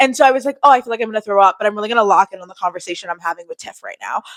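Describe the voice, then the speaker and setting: A woman with a fairly high pitch talks in an animated tone with lively intonation, the sound dry and close with no echo. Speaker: YouTuber vlogger. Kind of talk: casual storytime vlog. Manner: fast.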